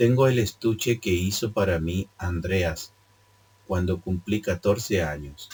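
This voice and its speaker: A man speaks at a very slow pace in a very deep, low voice. His delivery is somewhat breathy, with ordinary pitch variation. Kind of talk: read story. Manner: occasional stumbles and self-corrections.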